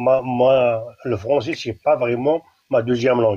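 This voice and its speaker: A man with an Algerian accent, at a fairly slow pace. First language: Kabyle (speaking French). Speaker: caller. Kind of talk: casual chat. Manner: halting.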